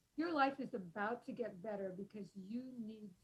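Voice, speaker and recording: A woman's fairly high, somewhat breathy voice rises and falls with lively intonation. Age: 70s. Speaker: author and thought leader on aging. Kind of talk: podcast interview. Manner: conversational with many fillers.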